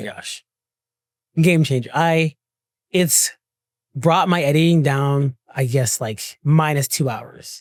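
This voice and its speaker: Very slow delivery with long, frequent pauses and ordinary pitch variation. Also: man, fairly high pitch for a man. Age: 20s. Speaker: creative, content creator. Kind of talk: podcast interview answer. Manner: casual, conversational.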